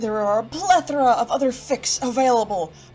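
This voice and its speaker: The speech comes in an upbeat tone at a fairly quick pace, with music playing in the background. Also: woman. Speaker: fan fiction reader. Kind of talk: casual talk to camera.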